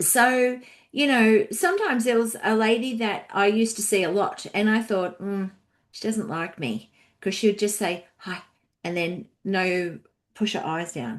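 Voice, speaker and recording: Against a quiet background, a woman with a fairly high pitch talks at a fairly slow pace, her pitch varying in an ordinary way. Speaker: podcast co-host and counselor. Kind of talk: casual discussion podcast. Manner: loud; chatty.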